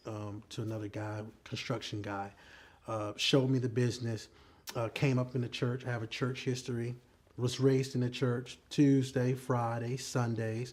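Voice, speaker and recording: A man with a medium pitch and ordinary pitch variation sounds somewhat breathy as he talks. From US South, Columbia, South Carolina. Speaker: pastor. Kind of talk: testimony.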